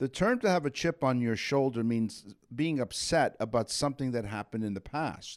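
Lively intonation and an animated tone, with hardly any pauses, on a very clean recording against a silent background. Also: man, medium pitch for a man. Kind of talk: radio host patter, bantering co-host chat with plugs. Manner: bantering, jokey, quick-witted, animated.

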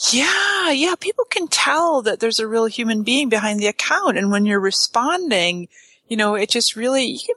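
Bright and sharp in tone, a woman's voice makes very wide pitch swings in a dry, close sound with no echo. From Canada. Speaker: social media marketing expert. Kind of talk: casual interview.

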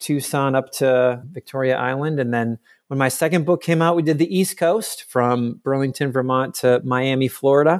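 Man with a normal speaking voice, medium pitch, ordinary pitch variation, moderate pace and hardly any pauses, on a very clean recording against a silent background. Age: 40s. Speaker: author. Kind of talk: casual chat.

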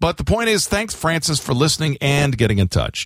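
A man with an American accent talks at a fairly quick pace with very wide pitch swings and vocal fry. The sound is dry and close, with no echo. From Florida. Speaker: radio host. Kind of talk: casual chat. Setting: studio.

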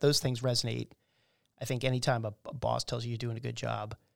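A man races through his words at a very fast pace on a very clean recording with a silent background. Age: 50s. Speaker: podcast host, military veteran. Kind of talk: interview.

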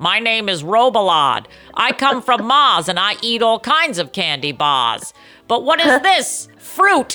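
A put-on, female-sounding character voice in a Boston accent, fairly high in pitch, with very wide pitch swings and a fairly slow pace

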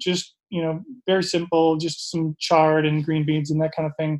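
The speaker has an Upper Midwest accent and talks at a moderate pace. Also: man. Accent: Upper Midwest American. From Minnesota, Minneapolis suburbs. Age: 40s. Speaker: personal chef and gardener. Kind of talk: casual interview.

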